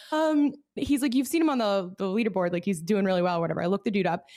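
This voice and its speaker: A woman talks at a very fast pace in an animated tone, her pitch making very wide swings while her loudness stays very even. The recording is very clean, with a silent background. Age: 30s. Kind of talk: casual chat.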